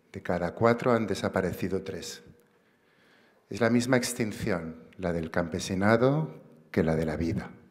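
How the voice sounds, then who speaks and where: A man's very deep, low voice at a fairly slow pace, with long, frequent pauses, ordinary pitch variation and a quiet background. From Barcelona, Catalonia. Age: 50s. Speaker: activist and writer, award recipient. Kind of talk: acceptance speech. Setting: stage with audience. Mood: earnest, reflective. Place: stage. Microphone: podium.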